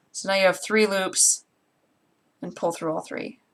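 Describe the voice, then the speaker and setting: An American accent in a woman's medium-pitched voice. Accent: Great Lakes accent per online survey. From US Great Lakes region. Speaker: crafter livestreamer. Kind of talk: casual livestream tutorial.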